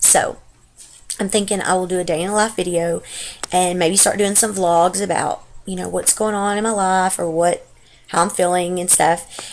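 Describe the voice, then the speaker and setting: A woman with a Texas accent talks at a moderate pace and medium pitch in a monotone, flat intonation. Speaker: stay-at-home mom. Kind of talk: casual talk to camera.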